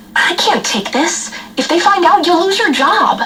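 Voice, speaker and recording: Over clear background noise, a squeaky, cartoonish character voice at an extremely high pitch speaks at a moderate pace. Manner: polite, smooth.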